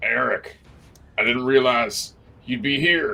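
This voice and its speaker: A man performs a put-on character voice. It sounds raspy. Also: fairly slow pace. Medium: actual play. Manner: breezy, scheming.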